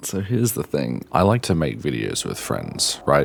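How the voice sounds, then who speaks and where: An Australian accent over noticeable background noise. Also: man. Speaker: gaming youtuber. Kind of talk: opinion rant. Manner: halting, repeats words.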